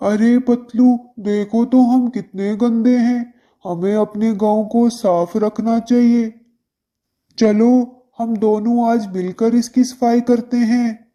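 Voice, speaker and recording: A cartoonish character voice, fairly high in pitch, at a very slow pace. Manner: loud, impulsive, brash.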